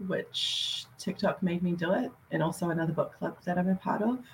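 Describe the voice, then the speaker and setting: A woman with an Australian accent speaks at a medium pitch, her voice somewhat breathy and her intonation fairly even. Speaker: hobby book YouTuber. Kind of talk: casual chat. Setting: video call. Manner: chatty, many fillers.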